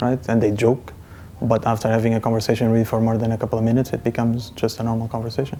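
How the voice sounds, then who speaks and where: This is a man with a Portuguese accent. His pitch sits in the medium range. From Portugal. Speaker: interviewee. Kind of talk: personal testimony.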